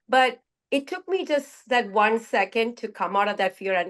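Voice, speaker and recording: A woman's pitch varies in an ordinary way as she talks at a fairly slow pace. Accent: Indian. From India. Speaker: group participant sharing personal story. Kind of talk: personal testimony in group sharing. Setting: video call. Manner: halting.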